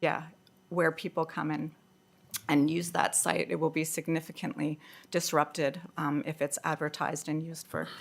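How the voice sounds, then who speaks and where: A woman with a North American accent. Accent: loud North American. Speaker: public submitter. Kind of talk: public submission at council hearing. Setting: council meeting hearing. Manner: loud.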